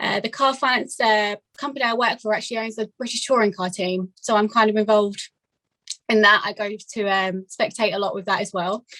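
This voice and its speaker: Here is a woman with an Essex accent, a fairly high pitch and a bright, sharp tone, talking at a fairly quick pace. The sound is dry and close with no echo. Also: fairly even intonation. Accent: southern English, Essex. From England, Essex. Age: 20s. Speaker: amateur racing competitor. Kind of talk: casual interview chat. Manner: hesitant, many fillers.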